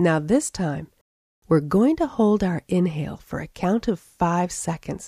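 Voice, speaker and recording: A woman's fairly low, lively voice at a fairly slow pace, a normal speaking voice, on a very clean recording with a silent background. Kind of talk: guided meditation. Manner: slow, calm, soothing; gently paced, with long pauses for counting.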